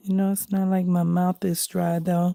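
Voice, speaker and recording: A woman whispers in a dry, close sound with no echo. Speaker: crafting livestreamer. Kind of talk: casual livestream chat while coloring. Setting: home, at night. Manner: soft-spoken.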